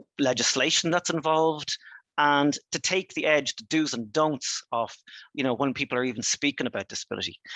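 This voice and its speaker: The speaker talks at a fairly quick pace with an Irish accent. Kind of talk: webinar presentation. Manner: fast; halting, many fillers and restarts.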